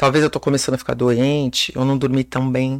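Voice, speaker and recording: A woman at a moderate pace, with a dry, close sound, no echo, and a very clean recording against a silent background. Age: 40s. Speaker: personal trainer. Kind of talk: casual chat.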